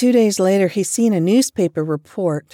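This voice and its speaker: The recording is very clean, with a silent background and a dry, close sound with no echo. A woman speaks with lively intonation and a dark, mellow tone. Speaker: book podcast host. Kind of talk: ghost story telling, scripted-sounding narration of spooky true tales. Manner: hushed, suspenseful, steady storyteller pacing.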